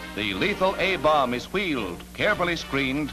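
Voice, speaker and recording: Very wide pitch swings mark this voice, delivered at a moderate pace with music in the background. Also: man. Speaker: newsreel narrator. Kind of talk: newsreel narration. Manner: dramatic.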